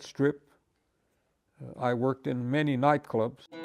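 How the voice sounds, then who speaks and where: Over music in the background, a man with an American accent speaks at a moderate pace in a fairly high pitch with monotone, flat intonation. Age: 80s. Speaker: farmer and musician. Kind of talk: interview answer.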